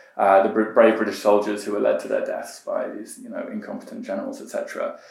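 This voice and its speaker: A man is speaking. The room echo is audible. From Iran, raised partly in Britain. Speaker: political campaigner. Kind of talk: casual chat. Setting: in person interview. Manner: hesitant, many fillers.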